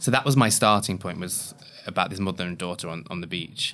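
In an East Midlands accent, the voice sounds bright and sharp, with lively intonation. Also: man. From Leicestershire, England. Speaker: playwright. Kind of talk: casual interview.

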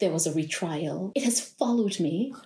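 Somewhat breathy, with a dark, mellow tone, a woman speaks at a moderate pace in a British Virgin Islands accent. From British Virgin Islands (Tortola). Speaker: lawyer. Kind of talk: casual interview.

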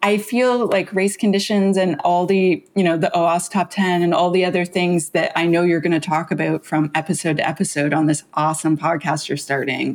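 A woman speaks at a moderate pace with hardly any pauses, in a plain, everyday voice. Her pitch is fairly low, with ordinary pitch variation and very even loudness. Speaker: security author and founder. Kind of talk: casual interview chat.

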